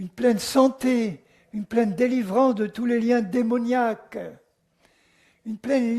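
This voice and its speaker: This man has an extremely high pitch and a dark, mellow tone. He speaks at a very slow pace. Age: 80s+. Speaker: Bible teacher. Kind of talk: sermon.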